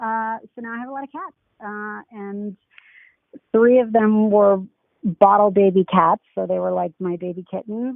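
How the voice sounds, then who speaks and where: Here a woman talks at a medium pitch. She keeps her intonation fairly even. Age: 30s. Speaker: dating show guest, artist. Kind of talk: casual interview.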